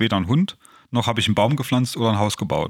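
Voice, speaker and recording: An unremarkable speaking voice, the man's medium pitch shows ordinary pitch variation on a very clean recording with a silent background. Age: 40s. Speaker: podcast co-host, self-help group co-founder. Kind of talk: casual chat.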